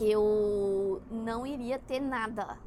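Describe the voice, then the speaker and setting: A woman's voice amid noticeable background noise. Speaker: spiritual content creator. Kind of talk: casual monologue. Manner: halting.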